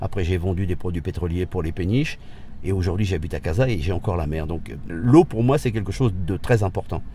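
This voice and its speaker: Somewhat breathy, a man talks at a fairly quick pace in a very deep, low pitch with a dark, mellow tone and lively intonation. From France. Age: 60s. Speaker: retired expatriate. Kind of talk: interview testimony. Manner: halting, many repetitions.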